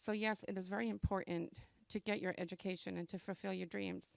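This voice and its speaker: A woman with an American accent speaks at a moderate pace, with vocal fry. The recording is very clean, with a silent background and a dry, close sound with no echo. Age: 60s. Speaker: adult education graduate. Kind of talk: graduation speech. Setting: graduation ceremony with audience. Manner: reading a prepared speech.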